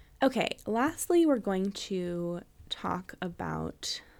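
A woman speaks at a very slow pace in an American accent. The recording is very clean, with a silent background. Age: 30s. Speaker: podcast host and dog trainer. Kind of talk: casual chat. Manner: hesitant, many fillers.

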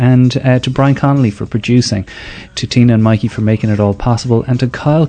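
Speaking in an Irish accent, a man talks at a fairly quick pace. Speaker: podcast host. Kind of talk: scripted narration. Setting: stage with audience.

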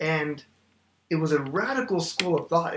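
A man with an American accent and a normal speaking voice, fairly high in pitch, moderately paced, with fairly even intonation. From Oklahoma, US. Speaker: theology graduate, church member. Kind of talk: casual theological discussion.

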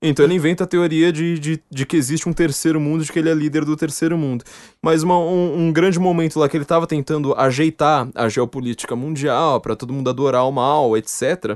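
In a dry, close recording with no echo and a quiet background, a man talks at a fairly quick pace and fairly high pitch. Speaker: podcast host. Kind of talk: casual chat. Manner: animated.

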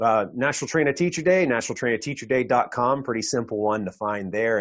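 A man speaks at a fairly quick pace. His is an unremarkable speaking voice, medium in pitch. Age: 40s. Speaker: firearms trainer and podcast host. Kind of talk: interview. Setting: video call.

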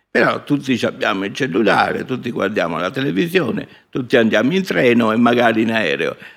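Very wide pitch swings mark a man's speech, delivered at a moderate pace. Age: 70s. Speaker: scientist. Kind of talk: interview. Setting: stage with audience.

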